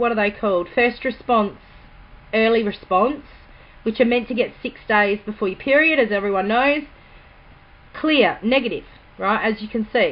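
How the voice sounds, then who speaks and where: This woman talks at a fairly slow pace with ordinary pitch variation. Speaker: vlogger. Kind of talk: casual vlog update. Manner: naturally quiet, trying to speak louder; hesitant, many ums.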